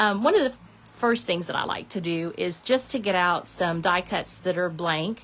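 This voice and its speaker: This woman has a normal speaking voice at a medium pitch. She talks at a fairly slow pace with ordinary pitch variation. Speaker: papercraft demonstrator. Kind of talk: crafting tutorial. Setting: live stream. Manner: casual, chatty.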